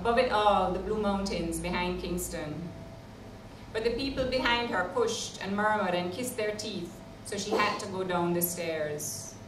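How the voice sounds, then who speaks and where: Noticeable background noise runs under this recording. The woman's pitch varies in an ordinary way. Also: medium pitch for a woman, moderate pace. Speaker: novelist. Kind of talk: live reading of fiction. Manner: eloquent.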